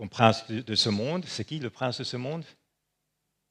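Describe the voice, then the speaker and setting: Fairly slow speech on a very clean recording, the background silent. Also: man. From Switzerland. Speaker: preacher. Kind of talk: sermon.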